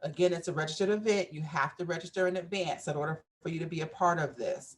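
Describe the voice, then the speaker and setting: A woman talks at a fairly quick pace in a fairly low pitch. Her voice is somewhat breathy, with ordinary pitch variation. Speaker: event organizer pitching an expo. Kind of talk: business pitch presentation. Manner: halting, many fillers.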